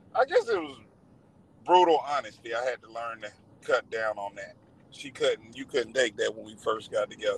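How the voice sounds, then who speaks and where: A man with a Southern US accent is heard in a dry, close sound with no echo. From rural Georgia, near Athens. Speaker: truck driver. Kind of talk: casual interview.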